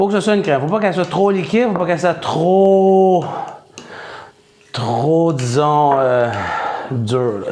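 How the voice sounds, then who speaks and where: In a Quebec accent, a man speaks at a fairly slow pace with very wide pitch swings, amid audible room echo and noticeable background noise. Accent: Québécois French. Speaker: home cook. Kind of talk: cooking tutorial. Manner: casual, conversational.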